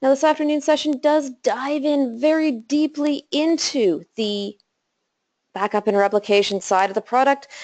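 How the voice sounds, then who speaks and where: A woman's lively intonation at a moderate pace, in a dry, close sound with no echo. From Canada, Calgary. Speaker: systems engineer. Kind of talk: technical webinar presentation.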